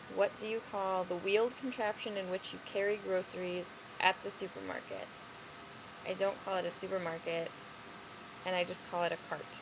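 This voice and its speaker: A woman with a Chicago accent speaks at a moderate pace in a medium pitch. Her pauses are long and frequent. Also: fairly even intonation. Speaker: vlogger. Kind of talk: casual chat. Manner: casual.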